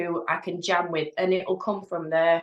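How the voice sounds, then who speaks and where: A woman with a Lancashire accent talks at a moderate pace and a medium pitch. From northern England, East Lancashire. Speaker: hypnotherapist. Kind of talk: casual chat. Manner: halting.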